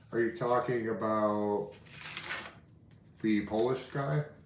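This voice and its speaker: Through audible room echo, a man speaks at a fairly low pitch with ordinary pitch variation. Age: 30s. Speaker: history and antiques YouTuber. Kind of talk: casual live stream chat. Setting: live stream from home. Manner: casual, filler-heavy.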